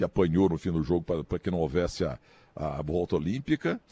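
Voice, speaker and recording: Man with a very deep, low pitch, a dark, mellow tone and vocal fry, in a dry, close sound with no echo. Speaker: sports commentator. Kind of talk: casual chat.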